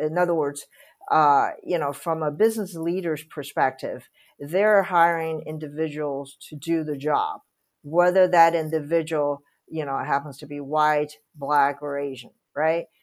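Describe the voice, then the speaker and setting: A woman with a Chinese accent has a very deep, low pitch and fairly even intonation. She keeps a moderate pace on a very clean recording with a silent background. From Taiwan. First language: Mandarin Chinese. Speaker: real estate executive. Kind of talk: interview. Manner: halting, many fillers.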